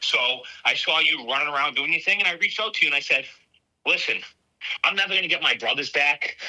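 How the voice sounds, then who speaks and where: With a Boston accent, a man talks at a very fast pace in a high pitch. Long, frequent pauses break up his speech. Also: ordinary pitch variation. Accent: thick Boston. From Boston area, Massachusetts. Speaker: border patrol agent, whistleblower. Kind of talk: testimony.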